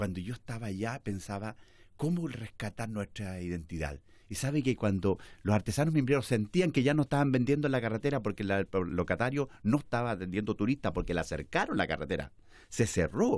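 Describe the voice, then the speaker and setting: Against a quiet background, a man talks at a fairly quick pace with very wide pitch swings, and the sound is dry with no echo. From central Chile, Chimbarongo, Colchagua; Chile. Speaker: politician; guest. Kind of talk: interview. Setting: studio. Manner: halting. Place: studio. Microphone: studio mic.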